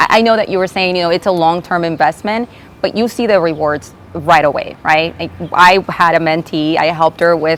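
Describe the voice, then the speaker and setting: Speaking at a fairly quick pace, a woman with a Spanish accent has a fairly low pitch. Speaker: attorney, bar association president. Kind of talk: interview. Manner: hesitant, many fillers.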